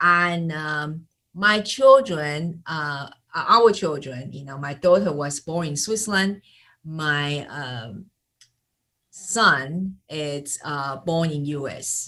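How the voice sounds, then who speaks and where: Speaking very slowly with a Taiwanese accent, a woman with a very deep, low pitch uses lively intonation, a bright, sharp tone, and big swings in loudness. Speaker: sales and marketing coach. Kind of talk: interview. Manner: halting, many fillers.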